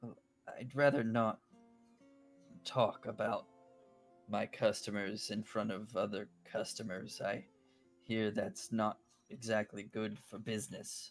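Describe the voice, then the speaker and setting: Over faint background music, a man does a raspy, put-on character voice at medium pitch. His fairly slow delivery has long, frequent pauses. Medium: actual play. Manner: polite, warm.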